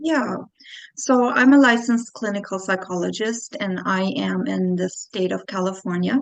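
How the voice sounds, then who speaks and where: The talking is fairly slow. It comes from a woman with a medium-pitched voice. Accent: slight Austrian. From Austria. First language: German. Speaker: clinical psychologist. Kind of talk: interview.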